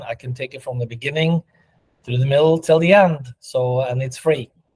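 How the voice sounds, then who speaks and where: A man speaks at a moderate pace with monotone, flat intonation and a fairly high pitch. His tone is dark, mellow and somewhat breathy, with a dry, close sound and no echo. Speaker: mastermind coach hosting a live session. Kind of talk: live video session chat.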